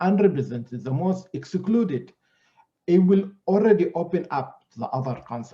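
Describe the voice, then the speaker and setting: Dark, mellow tone in an Arabic accent, moderate pace, very wide pitch swings. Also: man. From Sudan and Greece. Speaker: scholar. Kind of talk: panel discussion.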